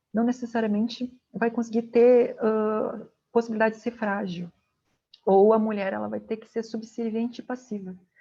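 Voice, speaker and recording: A woman's fairly high pitch in a dark, mellow tone, monotone and flat in intonation, at a moderate pace. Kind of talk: lecture.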